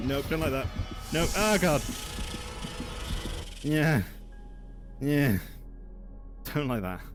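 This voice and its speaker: A man's fairly high voice with lively intonation, very slow pacing and long, frequent pauses, music playing behind him. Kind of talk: casual talk to camera.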